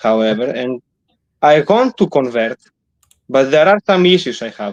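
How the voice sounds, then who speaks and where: Man with a non-native accent at a medium pitch and moderate pace, lively intonation, dry, close sound with no echo. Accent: foreign. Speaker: caller. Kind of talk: call-in discussion. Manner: halting.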